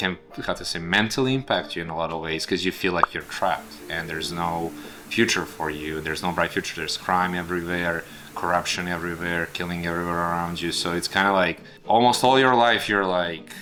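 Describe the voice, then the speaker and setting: A man with a Serbian accent, a very deep, low pitch and ordinary pitch variation, at a fairly quick pace amid noticeable background noise. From Serbia, town of Šabac. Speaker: immigrant telling his story. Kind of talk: documentary interview. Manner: halting, with frequent fillers.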